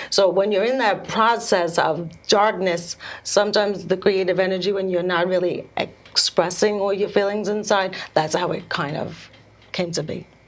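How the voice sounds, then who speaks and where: Moderate pace and medium pitch from a woman, her intonation fairly even. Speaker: speech pathologist and swimwear entrepreneur. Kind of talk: interview. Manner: halting.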